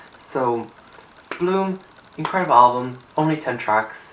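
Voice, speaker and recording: A man at medium pitch, with noticeable background noise behind him. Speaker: YouTuber music reviewer. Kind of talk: casual vlog talk. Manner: animated.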